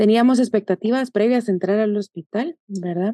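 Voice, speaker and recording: A woman speaks at a moderate pace with fairly even intonation, her medium pitch carrying a dark, mellow tone in a dry, close recording with no echo and a quiet background. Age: 20s. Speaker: doctor. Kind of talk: casual interview.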